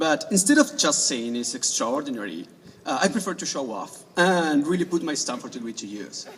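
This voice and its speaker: With an Argentine accent, a man with a fairly high voice swings very widely in pitch and heavily in loudness, over noticeable background noise. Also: moderate pace. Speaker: graduating student speaker. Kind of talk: graduation speech.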